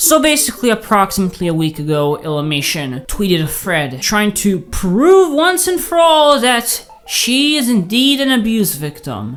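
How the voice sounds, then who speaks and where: A woman speaks with a fairly high pitch and very wide pitch swings, with hardly any pauses. Noticeable background noise is present. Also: moderate pace. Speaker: commentary YouTuber. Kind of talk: commentary video.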